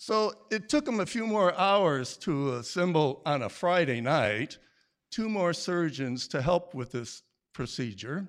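On a very clean recording with a silent background, a man talks in an American accent at a high pitch. His pace is fairly slow and his pitch swings very widely. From Michigan. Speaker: storyteller. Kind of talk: live storytelling on stage. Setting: stage with audience.

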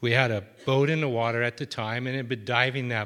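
On a very clean recording with a silent background, a man talks fairly quickly. He uses an ordinary speaking voice with fairly even intonation. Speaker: storyteller, marine wildlife worker. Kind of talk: live storytelling. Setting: stage with audience.

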